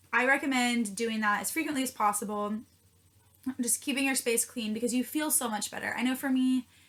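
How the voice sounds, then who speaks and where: Her pitch is high and her intonation fairly even. The woman keeps a fairly quick pace. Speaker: student vlogger. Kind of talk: casual vlog tutorial. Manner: fast.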